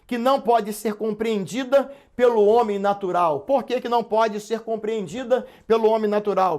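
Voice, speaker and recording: At a moderate pace, a man talks in a high-pitched voice. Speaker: pastor and Bible teacher. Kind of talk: live online Sunday school lesson. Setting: live internet broadcast.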